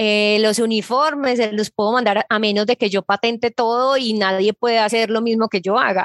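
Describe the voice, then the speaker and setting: An ordinary speaking voice from a woman, fairly high in pitch, at a moderate pace with hardly any pauses, very even loudness and fairly even intonation, the sound dry and close with no echo. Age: 30s. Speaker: digital marketing expert. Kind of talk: interview.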